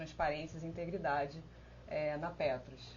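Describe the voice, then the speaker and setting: Noticeable background noise, audible room echo, and a woman's voice. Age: 30s. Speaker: election candidate, internal auditor. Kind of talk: live-stream panel presentation. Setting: online live stream. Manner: halting, many filler hesitations.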